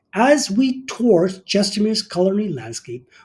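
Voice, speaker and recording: A man speaking at a moderate pace. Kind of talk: scripted presentation to camera. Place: home room. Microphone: phone near.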